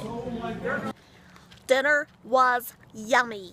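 A woman's high-pitched, raised, projected voice, dry with no echo, over light background noise. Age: 40s. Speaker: vlogger. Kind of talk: casual vlog narration. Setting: outdoors. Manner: animated. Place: street. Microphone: phone near.

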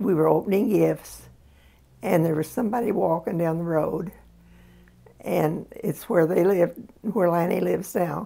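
With vocal fry and a fairly low pitch, a woman speaks at a moderate pace with ordinary pitch variation and long, frequent pauses. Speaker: interviewee. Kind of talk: interview answer. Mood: reflective, calm storytelling. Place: home room.

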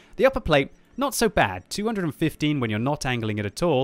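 Lively in intonation, a man with an English accent is heard in a dry sound with no echo. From Britain. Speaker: gaming YouTuber. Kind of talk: game commentary and review. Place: home room. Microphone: studio mic.

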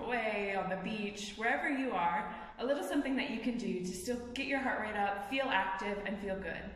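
A woman speaks at a moderate pace with ordinary pitch variation. Light background noise and audible room echo surround her voice. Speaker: fitness trainer. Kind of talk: tutorial. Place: gym. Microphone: phone near.

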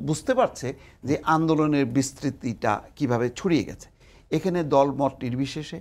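His pitch fairly high, the man varies it to a normal degree. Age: 60s. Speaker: newspaper editor and political commentator; newspaper editor, political commentator. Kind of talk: TV talk show debate. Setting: TV studio. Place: studio. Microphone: lapel.

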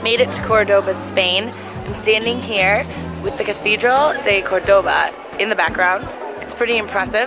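With clear music in the background, a woman speaks with ordinary pitch variation. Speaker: travel vlogger. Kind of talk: casual vlog chat. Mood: upbeat, impressed. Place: street. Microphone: phone near.

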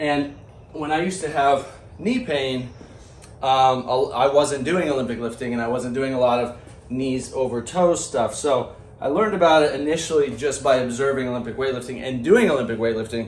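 With audible room echo, a man talks at a moderate pace using ordinary pitch variation. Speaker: fitness coach. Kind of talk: tutorial. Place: gym. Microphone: camera far.

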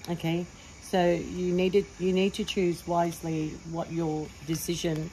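The voice is somewhat breathy and monotone, with flat intonation, moving at a fairly slow pace over light background noise. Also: woman. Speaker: tarot reader. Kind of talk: tarot reading monologue. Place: garden. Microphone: phone near.

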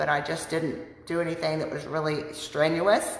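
Audible room echo surrounds a woman whose pitch is very deep and low. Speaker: weight loss vlogger. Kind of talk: casual vlog chat, personal testimony. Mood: earnest, reflective. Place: home room. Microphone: phone near.

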